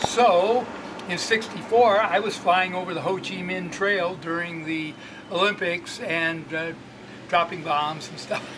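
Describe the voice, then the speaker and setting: Amid noticeable background noise and audible room echo, a man with a high pitch talks at a fairly slow pace with big swings in loudness. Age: 80s+. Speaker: bike shop owner and former racing cyclist. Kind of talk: casual interview storytelling.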